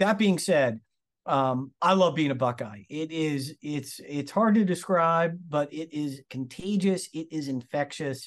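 With a plain, everyday voice and an American accent, a man speaks at a fairly high pitch and fairly slow pace with ordinary pitch variation against a quiet background. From Massachusetts, Lawrence/Methuen area. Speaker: surgeon. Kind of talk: interview.

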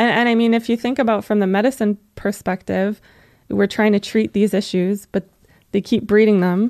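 A woman speaks at a medium pitch and a fairly slow pace, her intonation monotone and flat, her loudness very even, in a dry, close sound with no echo. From western Canada, Alberta. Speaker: veterinary technician and animal welfare campaigner. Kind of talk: interview.

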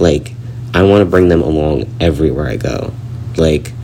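Amid noticeable background noise and audible room echo, a man speaks at a very deep, low pitch with ordinary pitch variation. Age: 20s. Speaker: podcast host. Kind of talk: solo personal monologue.

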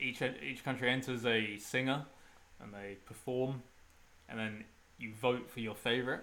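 At a moderate pace, a man with a medium pitch and a bright, sharp tone speaks with fairly even intonation, big swings in loudness and long, frequent pauses. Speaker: host's partner, co-host. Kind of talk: casual chat.

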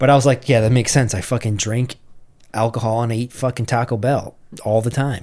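A man's ordinary speaking voice, medium in pitch and fairly even in intonation, at a fairly quick pace in a very clean recording with a silent background. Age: 30s. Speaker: podcast host. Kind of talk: casual banter. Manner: joking.

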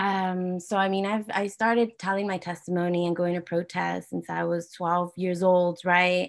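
With an ordinary speaking voice, a woman talks at a moderate pace and medium pitch on a very clean recording with a silent background. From California, San Jose area (born in Guadalajara, Mexico). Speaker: activist and entrepreneur. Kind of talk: interview.

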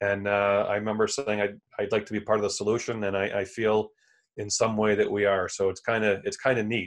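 The intonation stays monotone and flat. The speaker has an American accent. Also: man, quiet background. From central New York, Elmira. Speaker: supply chain consultant. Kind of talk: interview.

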